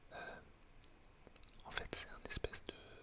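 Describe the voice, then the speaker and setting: There is whispering here. Background noise is noticeable throughout. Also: man. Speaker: coach. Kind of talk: ASMR whispered talk. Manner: whispered; hesitant, many filler sounds.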